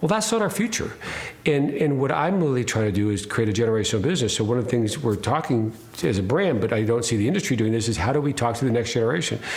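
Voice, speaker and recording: Talking at a very fast pace with lively intonation and very even loudness, a man is heard with audible room echo and noticeable background noise. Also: medium pitch for a man. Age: 60s. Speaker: winery owner. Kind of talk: interview. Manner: halting, many repeated words.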